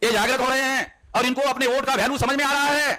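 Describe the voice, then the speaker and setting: A man's raised, projected voice carries through noticeable background noise. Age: 60s. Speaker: activist leader. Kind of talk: public speech.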